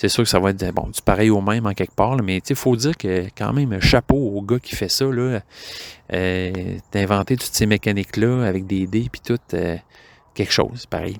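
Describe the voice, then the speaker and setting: At a moderate pace, a man with a Quebec accent speaks at a fairly low pitch. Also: ordinary pitch variation, dry, close sound with no echo. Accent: Québécois French. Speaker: board game podcaster. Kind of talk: casual monologue. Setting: outdoors in backyard. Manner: hesitant, many filler words.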